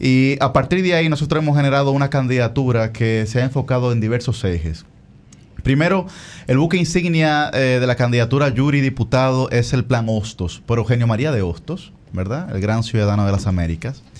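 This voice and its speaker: A man's plain, everyday voice at a medium pitch, fairly quick pace, lively intonation and very even loudness. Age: 20s. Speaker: congressional candidate. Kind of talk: interview.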